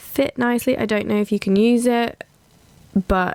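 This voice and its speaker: A woman with a British accent at a very slow pace. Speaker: gaming YouTuber. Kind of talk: casual gameplay commentary. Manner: hesitant, many ums.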